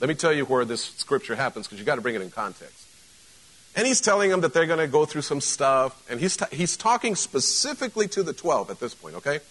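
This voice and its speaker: This man talks at a very fast pace in a fairly high pitch, with vocal fry. His pitch swings very widely and his loudness swings a lot too. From Mexico. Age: 50s. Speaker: pastor. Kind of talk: casual, conversational Sunday sermon to a live congregation, joking asides. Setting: church service with live congregation. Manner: animated rhetorical questions and punchy repetition.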